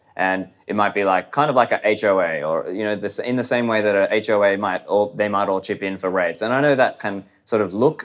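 With an Australian accent, a man speaks at a fairly quick pace and fairly low pitch with ordinary pitch variation, on a very clean recording with a silent background. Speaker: podcaster and libertarian commentator. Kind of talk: interview conversation.

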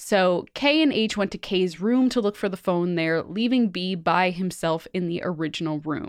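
Against a quiet background, an ordinary speaking voice moves at a moderate pace with lively intonation. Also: woman, medium pitch for a woman, hardly any pauses. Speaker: podcast host. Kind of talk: casual chat.

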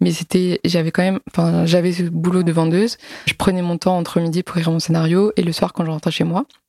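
A woman talks fairly quickly in a fairly low, dark, mellow voice with fairly even intonation. The sound is dry and close, with no echo. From Alsace, France. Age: 20s. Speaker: comic book author and illustrator. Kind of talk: casual interview.

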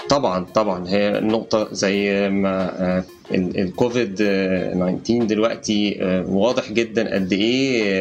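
With music in the background, a man with an Egyptian accent speaks very slowly at a fairly low pitch, keeping fairly even intonation and very even loudness. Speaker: edtech startup co-founder and CEO. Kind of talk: interview.

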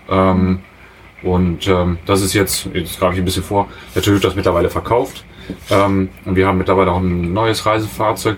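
A man's very deep, low voice in a monotone, flat delivery over noticeable background noise. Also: moderate pace. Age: 30s. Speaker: industrial mechanic, traveller. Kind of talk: casual interview. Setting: in a motorhome. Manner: hesitant, many fillers.

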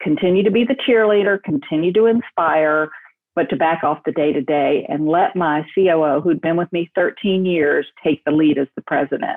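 This woman's voice sits fairly low and moves at a moderate pace with ordinary pitch variation. It is an unremarkable speaking voice. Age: 60s. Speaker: entrepreneur, staffing company founder. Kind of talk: interview, personal story.

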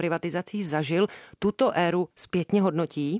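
Speaking at a moderate pace, a woman has a normal speaking voice, medium pitch and ordinary pitch variation. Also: quiet background. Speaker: radio host. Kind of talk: scripted narration.

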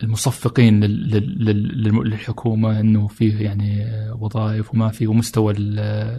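Very slowly and with hardly any pauses, a man talks in a fairly low, somewhat breathy voice with a dark, mellow tone and monotone, flat intonation. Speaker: photographer and traveler. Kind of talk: casual interview chat.

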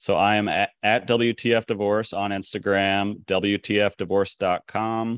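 Against a quiet background, a man with a fairly low voice talks at a moderate pace in a monotone, flat intonation, the sound dry and close with no echo. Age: 40s. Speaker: divorce support founder, former poker pro. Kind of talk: podcast interview.

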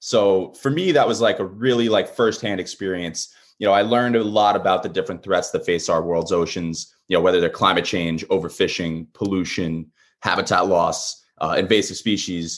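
A man with an American accent has a normal speaking voice at a fairly low pitch, with ordinary pitch variation. He speaks at a moderate pace against a quiet background. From Long Island, New York. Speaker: marine conservationist and small business owner. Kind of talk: interview conversation.

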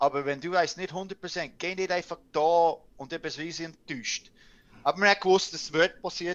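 Speaking at a moderate pace, a man has a high pitch. The background is quiet. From Canada. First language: English (speaking German). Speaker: ice hockey coach and former player. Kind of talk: casual interview. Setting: video call.

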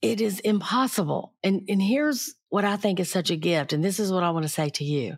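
Speaking with an unremarkable speaking voice, a woman talks at a fairly quick pace with lively intonation, medium pitch and very even loudness. The recording is very clean with a silent background. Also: hardly any pauses. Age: 60s. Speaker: podcast host, crime reporter. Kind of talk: interview.

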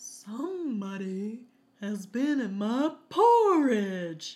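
A female-sounding voice puts on a character voice at a fairly high pitch. The pace is very slow. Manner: mock-dramatic storytelling.

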